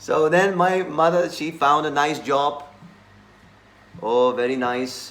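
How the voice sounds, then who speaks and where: A man speaks with a Slovak accent. His pace is fairly slow. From Slovakia. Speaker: monk. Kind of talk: scripture class.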